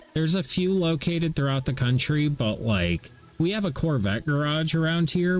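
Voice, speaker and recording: A man speaks with music playing in the background. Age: 30s. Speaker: gaming livestreamer. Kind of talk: casual chat.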